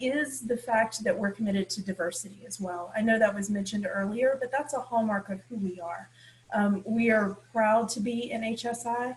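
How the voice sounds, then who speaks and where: A somewhat breathy voice delivers the words at a moderate pace. Its pitch variation is ordinary. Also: woman. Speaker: university administrator. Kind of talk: panel discussion remarks. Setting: video call. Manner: many filler ums.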